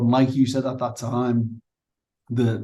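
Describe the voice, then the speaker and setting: Dark and mellow in tone, somewhat breathy and flat in intonation, the voice comes with a Liverpool accent. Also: man. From northern England, Liverpool. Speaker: managing director at a software company. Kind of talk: business interview. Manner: halting, many fillers and repeats.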